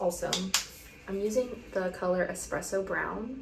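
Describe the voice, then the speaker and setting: Over noticeable background noise and audible room echo, a soft-spoken woman talks. Her pace is moderate, with ordinary pitch variation. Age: 20s. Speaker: lifestyle vlogger. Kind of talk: casual chat. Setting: bathroom at home. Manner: rambling with fillers.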